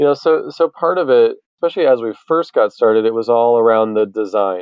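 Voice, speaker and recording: Lively intonation marks a man's unremarkable speaking voice as he talks at a moderate pace. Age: 30s. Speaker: nonprofit founder. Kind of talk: interview.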